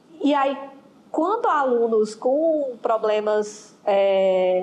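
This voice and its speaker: A woman's fairly high voice at a very slow pace, with ordinary pitch variation and noticeable background noise. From Ceará, Brazil. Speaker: school history teacher. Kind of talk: interview.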